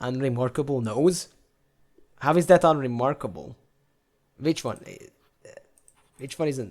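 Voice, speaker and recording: Animated and fairly high-pitched, a man speaks at a moderate pace with big swings in loudness and long, frequent pauses. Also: ordinary pitch variation. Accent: non-native. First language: not English. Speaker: gaming YouTuber. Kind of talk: gameplay commentary.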